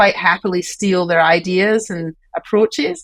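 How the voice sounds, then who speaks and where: A woman with a Scottish accent, medium pitch, moderate pace and ordinary pitch variation. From Scotland. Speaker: university president. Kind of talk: interview.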